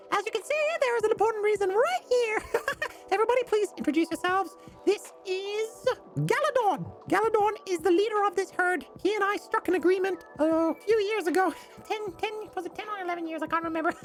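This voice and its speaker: A woman uses a squeaky, put-on character voice at a fairly quick pace, with music in the background. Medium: actual play. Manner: breezy, casual.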